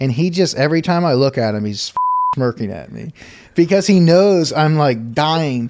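A man with a plain, everyday voice talks at a moderate pace, his pitch fairly high and his intonation lively. The recording is very clean, with a silent background. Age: 30s. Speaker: lawn care operator and online group founder. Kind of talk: casual interview. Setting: trade show.

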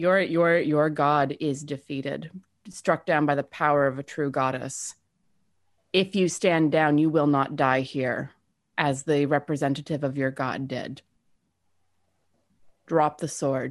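In a put-on character voice, someone booms in a stern tone at a low-to-middle pitch and a fairly slow pace, with long, frequent pauses over a quiet background. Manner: commanding, stern.

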